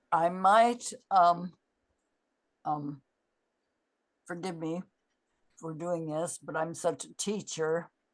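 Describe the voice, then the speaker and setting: A woman's fairly low voice at a very slow pace, with long, frequent pauses, fairly even intonation and big swings in loudness. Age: 80s+. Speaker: therapy method founder and teacher. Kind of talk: conference talk with Q&A. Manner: halting.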